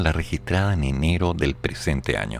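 A man's very deep, low voice. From Chile. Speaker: radio show host and commentator. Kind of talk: live radio news commentary. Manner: reading news aloud.

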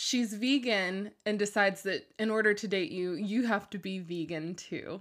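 With hardly any pauses, a woman talks in a normal speaking voice at a medium pitch with ordinary pitch variation. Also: moderate pace. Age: 20s. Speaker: podcast host. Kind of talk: casual chat. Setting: home bedroom recording.

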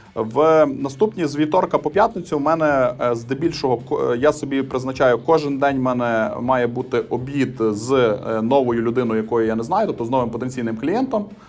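Over background music, a man speaks at a moderate pace with medium pitch and ordinary pitch variation. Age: 30s. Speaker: IT cluster executive. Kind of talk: interview. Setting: remote call. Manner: calm.

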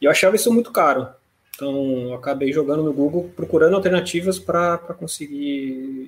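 In an unremarkable speaking voice, a man with a fairly high pitch speaks at a moderate pace with ordinary pitch variation. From Brazil, São Paulo city. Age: 30s. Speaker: fintech CEO. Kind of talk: interview. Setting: live stream.

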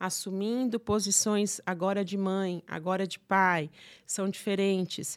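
A woman at a very slow pace, in monotone, flat intonation. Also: medium pitch for a woman, very clean recording, silent background. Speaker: psychotherapist and gynecologist. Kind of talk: casual interview.

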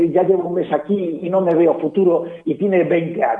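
Moderately paced talking with noticeable noise in the background. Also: man. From Galicia, Spain. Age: 50s. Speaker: fashion commentator. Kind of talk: casual interview. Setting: phone call.

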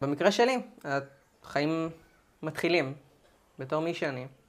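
A woman talks with ordinary pitch variation on a very clean recording with a silent background. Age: 20s. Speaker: student preparing for university. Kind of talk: interview.

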